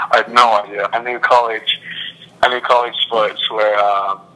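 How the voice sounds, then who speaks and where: A man at a moderate pace with an English accent. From England; Milton Keynes, England. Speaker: college soccer player.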